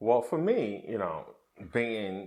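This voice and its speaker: A man talks, keeping a moderate pace. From Nigeria. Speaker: podcast co-host. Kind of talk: casual chat.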